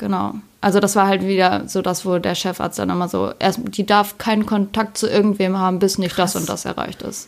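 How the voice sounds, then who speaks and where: Recorded very cleanly against a silent background, a woman speaks at a moderate pace in an ordinary speaking voice. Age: 20s. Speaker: ice cream maker, former psychiatric patient. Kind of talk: casual chat.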